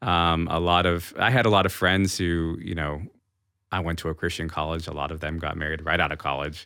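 A man speaks in a very deep, low pitch with an American accent. His pace is fairly quick and his intonation fairly even. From Massachusetts, New England. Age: 40s. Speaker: podcast co-host. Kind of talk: interview about personal faith story.

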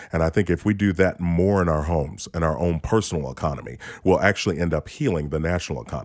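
A man's very deep, low voice with vocal fry, a very fast pace and ordinary pitch variation. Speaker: financial coach and author. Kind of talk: interview conversation about retirement and money.

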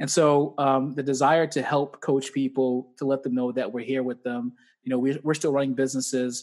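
At a moderate pace and medium pitch, a man speaks in an energetic tone against a quiet background. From Boston, Mattapan. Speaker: gym owner and personal trainer. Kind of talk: casual interview.

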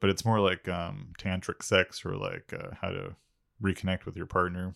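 A man talks in an unremarkable speaking voice. The recording is very clean, with a silent background. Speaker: podcast co-host. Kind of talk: casual comedic banter. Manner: joking, playful.

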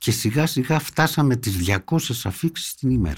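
Fairly slow, somewhat breathy speech from a man. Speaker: former government minister and doctor. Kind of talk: political interview. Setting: studio.

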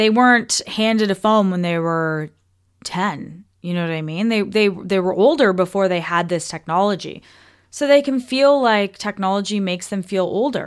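A woman with a Canadian accent speaks in an animated tone at medium pitch. Her pace is moderate and her pitch variation ordinary. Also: very clean recording, silent background. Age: 30s. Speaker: podcast host, wellness coach. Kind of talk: casual solo podcast talk.

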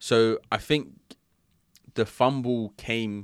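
A man's animated voice at medium pitch, with ordinary pitch variation. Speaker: podcast host. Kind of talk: casual banter, anime chat. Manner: animated, joking.

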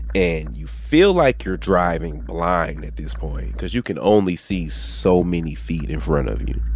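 A man's very deep, low voice with an American accent, fairly slow yet with hardly any pauses, lively in intonation, over noticeable background noise. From Texas (Dallas). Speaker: podcast host, paranormal investigator. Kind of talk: casual chat.

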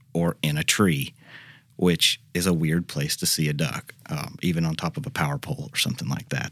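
A man with a Southern US accent talks at a moderate pace. The recording is very clean, with a silent background. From Arkansas. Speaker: professor. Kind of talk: interview. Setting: studio.

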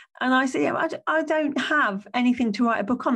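A woman speaks with an English accent. Her pitch is high and her pace fairly quick. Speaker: podcast host and business coach. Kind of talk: solo podcast monologue.

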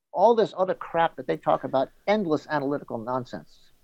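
A man with a New York accent, fairly high-pitched, at a fairly quick pace with lively intonation, in a dry, close sound with no echo. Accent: New York American. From New York City. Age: 60s. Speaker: golf journalist. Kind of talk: interview.

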